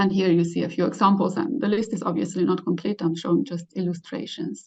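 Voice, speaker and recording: A woman speaks very fast in a fairly low, somewhat breathy voice. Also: ordinary pitch variation. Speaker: professor, keynote speaker. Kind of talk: lecture. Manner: halting, many fillers.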